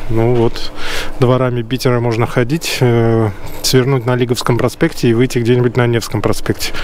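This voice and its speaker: A man speaks in a monotone, flat intonation over light background noise. The sound is dry with no echo. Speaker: vlogger guide. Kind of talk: casual vlog chat. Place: street. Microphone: phone near.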